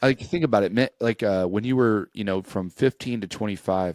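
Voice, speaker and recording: A plain, everyday voice at a moderate pace, with ordinary pitch variation and a dry, close sound free of echo. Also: man. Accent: American. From US Midwest, rural Missouri. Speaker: army drill sergeant, podcaster. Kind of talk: casual chat.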